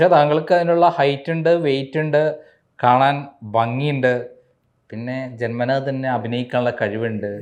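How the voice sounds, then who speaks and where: Using a normal speaking voice, a man speaks at a medium pitch with ordinary pitch variation. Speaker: interviewer. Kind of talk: interview.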